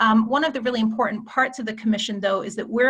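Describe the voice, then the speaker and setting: A woman's fairly high voice with an American accent and fairly even intonation. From United States. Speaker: climate policy expert. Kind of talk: presentation in online meeting. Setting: video call.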